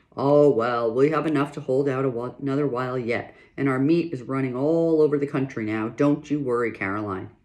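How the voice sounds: Natural voice, reading aloud.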